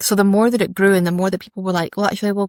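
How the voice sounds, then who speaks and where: In a Scottish accent, a woman speaks at a medium pitch, with a dry, close sound with no echo on a very clean recording with a silent background. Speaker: fashion brand founder and designer. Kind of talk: interview conversation. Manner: chatty, informal.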